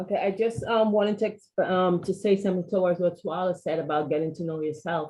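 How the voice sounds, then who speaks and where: At a medium pitch, a woman speaks very fast and somewhat breathily, with hardly any pauses. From Guyana. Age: 50s. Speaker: panel participant. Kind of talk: panel discussion.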